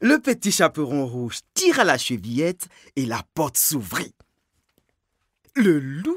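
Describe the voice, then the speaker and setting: Very slowly and with long, frequent pauses, a man speaks at a fairly high pitch, his voice swinging very widely. The sound is dry and close with no echo, on a very clean recording with a silent background. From Ivory Coast. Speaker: storyteller. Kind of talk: fairy tale telling.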